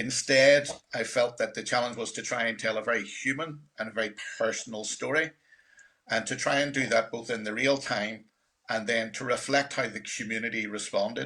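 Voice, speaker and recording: Speaking with a Northern Irish accent, a man keeps a fairly quick pace and medium pitch. His tone is bright and sharp, his intonation fairly even. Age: 60s. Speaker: documentary filmmaker. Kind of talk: panel presentation.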